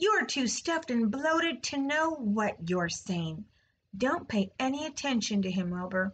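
Using a put-on character voice, a woman speaks fairly slowly at a fairly high pitch, with a fairly bright tone and a slightly husky edge. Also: lively intonation.

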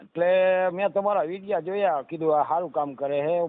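A man talks in a normal speaking voice. His pitch shows ordinary variation. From Gujarat, Saurashtra (Surendranagar district). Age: 50s. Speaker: mechanic and furniture craftsman seeking marriage. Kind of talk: phone call about marriage match.

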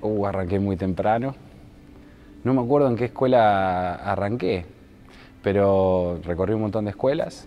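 Against light background noise, a man talks at a moderate pace in a fairly low pitch with ordinary pitch variation. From Buenos Aires province, Argentina. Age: 30s. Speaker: mayoral candidate; candidate. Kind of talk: interview. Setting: indoor basketball stadium. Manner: halting, frequent repetitions. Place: gym. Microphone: lapel.

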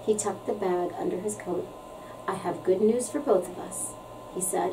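An example of a natural reading voice

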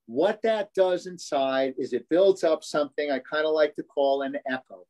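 Speaking at a moderate pace, a man has a fairly high pitch, ordinary pitch variation and a slightly mellow tone.

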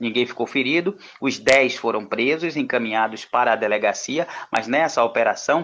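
A man talks in a normal speaking voice at a medium pitch. His pace is moderate, with ordinary pitch variation. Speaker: radio reporter. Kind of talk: news report. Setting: phone call. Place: studio. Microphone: studio mic.

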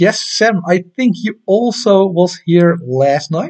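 A man talks with a Dutch accent and ordinary pitch variation. The background is quiet. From Netherlands. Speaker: amateur astronomy YouTuber. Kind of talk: live stream chat and tutorial. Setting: home live stream at night. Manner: casual, hesitant with many fillers. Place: home room. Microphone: webcam.

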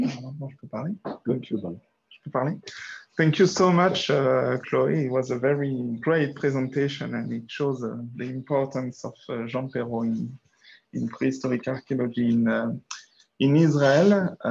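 A man with a French accent speaks at a fairly slow pace, his loudness swinging widely and his pitch varying in an ordinary way. Light background noise can be heard. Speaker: archaeologist and workshop organizer. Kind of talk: workshop moderation. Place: meeting room. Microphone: video call.

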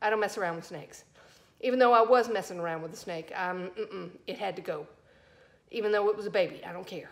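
A woman with a Southern US accent speaks at a very fast pace, her pitch medium and her intonation ordinary. Her loudness swings widely, and she takes long, frequent pauses. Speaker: fishing video creator. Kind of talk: casual vlog. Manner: animated.

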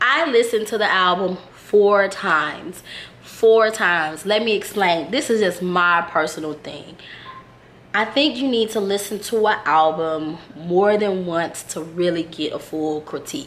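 Over noticeable background noise, a woman with an American accent speaks at a medium pitch and a fairly slow pace. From Houston, Texas. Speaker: music reviewer / YouTuber. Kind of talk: casual video review.

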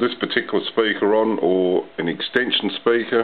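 A man speaks at a fairly slow pace. His pitch is fairly low and his intonation fairly even.

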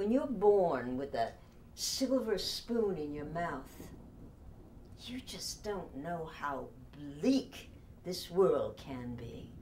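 Over light background noise, a woman with a dark, mellow tone speaks at a very slow pace, using very wide pitch swings and long, frequent pauses. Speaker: actress in a drama role. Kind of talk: dramatic monologue. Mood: wistful, resentful, languid. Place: home room.

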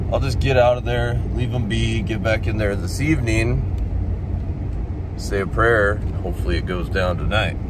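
The pace is fairly slow, and the sound is dry with no echo. Noticeable background noise runs underneath. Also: man. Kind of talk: casual vlog chat. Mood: disappointed, reflective. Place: car. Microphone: phone near.

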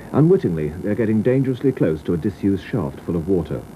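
Pitch swings very widely over light background noise. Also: man. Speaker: TV reporter narrating retrospective. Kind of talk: 1980s regional TV news feature voiceover, scripted narration. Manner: wry, polished, dryly witty, measured pace. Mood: calm, measured, solemn at times.

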